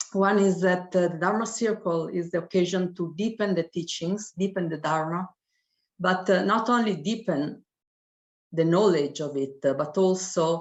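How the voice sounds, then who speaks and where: With an Italian accent, a woman speaks at a moderate pace and a fairly low pitch. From Italy. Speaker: professor. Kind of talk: testimony. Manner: halting.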